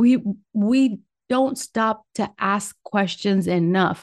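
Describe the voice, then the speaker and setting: Over a quiet background, a woman talks at a very slow pace with ordinary pitch variation. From Puerto Rico, raised in Michigan from age nine. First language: Spanish. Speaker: podcast host. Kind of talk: solo monologue podcast. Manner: casual with pauses and laughs.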